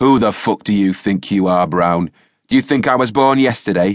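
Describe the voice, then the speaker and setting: A man puts on a character voice at a fairly low pitch, recorded with a dry, close sound, no echo and a quiet background. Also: moderate pace. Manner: bawling, shouting angrily.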